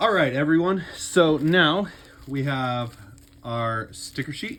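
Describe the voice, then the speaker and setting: Mumbling, a man speaks at a fairly high pitch with lively intonation. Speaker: YouTuber, toy collector. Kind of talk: unboxing video.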